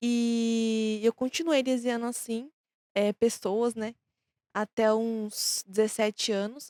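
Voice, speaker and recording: At a very slow pace, the voice has a dark, mellow tone and fairly even intonation. The sound is dry and close, with no echo. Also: woman. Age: 20s. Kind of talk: interview answers.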